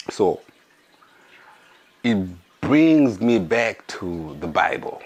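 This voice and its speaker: Noticeable background noise fills the space around a man. His intonation is lively. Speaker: podcast host. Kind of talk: casual monologue.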